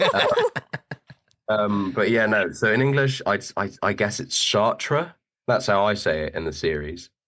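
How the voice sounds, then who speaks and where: With an American accent, the speaker uses lively intonation at a moderate pace, leaving long, frequent pauses. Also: man. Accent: British accent with a hint of American. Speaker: actor. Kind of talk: interview.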